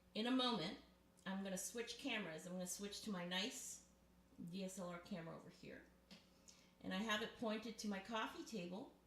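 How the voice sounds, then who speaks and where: A woman speaks at a fairly quick pace and a medium pitch, with ordinary pitch variation. She leaves long, frequent pauses, and there is audible room echo. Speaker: ASMR and live-stream creator. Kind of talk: casual live-stream show and tell. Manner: close to the mic.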